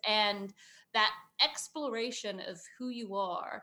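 With a bright, sharp tone, a woman speaks at a fairly high pitch. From southern England. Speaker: career coach. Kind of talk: interview.

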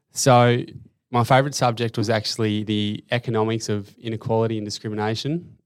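A man with an Australian accent talks fairly quickly at medium pitch, his intonation fairly even. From Tasmania, Australia (Hobart). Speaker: finance operations analyst, former footballer. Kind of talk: interview.

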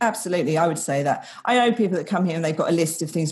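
Talking at a very fast pace with an English accent, a woman with a fairly low pitch sounds somewhat breathy, her intonation lively. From England. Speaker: expat travel guide. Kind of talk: casual interview.

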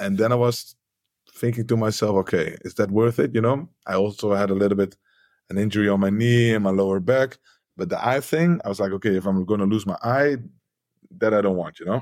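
With a Dutch accent, a man talks at a fairly quick pace in a fairly low pitch with ordinary pitch variation, on a very clean recording with a silent background. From Netherlands. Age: 40s. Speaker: MMA fighter, coach and entrepreneur. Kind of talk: podcast interview, casual.

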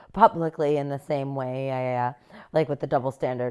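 A woman with an American accent speaks in a very deep, low voice with ordinary pitch variation over noticeable background noise. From United States. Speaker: podcast co-host. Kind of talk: casual chat.

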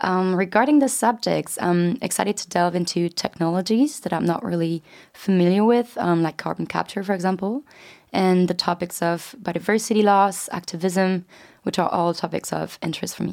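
A woman at a moderate pace, medium pitch and ordinary pitch variation, with a French accent. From France. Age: 20s. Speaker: student podcast co-host. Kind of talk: casual chat.

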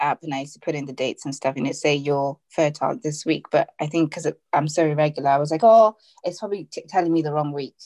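This woman's voice is very deep and low, with a dark, mellow tone. She talks at a very fast pace with fairly even intonation. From Zimbabwe. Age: 30s. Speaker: infertility awareness blogger and podcaster. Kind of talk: casual interview.

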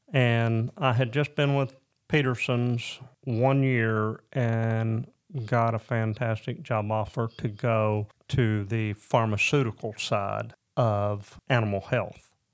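A man with a Southern US accent at medium pitch, very slow and fairly even in intonation, in a very clean recording with a silent background. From Northwest Arkansas. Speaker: guest sharing marriage testimony. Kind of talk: testimony.

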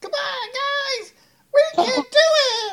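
A put-on character voice at an extremely high pitch. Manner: cute, encouraging.

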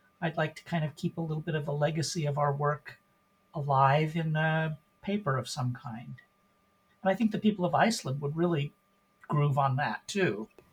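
A man with an American accent, fairly high-pitched, at a moderate pace with ordinary pitch variation and long, frequent pauses, over music in the background. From US Pacific Northwest, Portland, Oregon. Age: 60s. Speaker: volunteer genealogist. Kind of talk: podcast interview.

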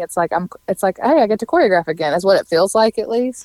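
A woman with a Southern US accent at a fairly quick pace. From Mississippi. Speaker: food and social media blogger. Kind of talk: casual interview.

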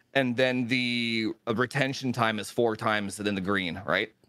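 It's a normal speaking voice at a moderate pace with ordinary pitch variation, recorded dry and close with no echo. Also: man. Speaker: tech YouTuber. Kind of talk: casual chat. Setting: live stream.

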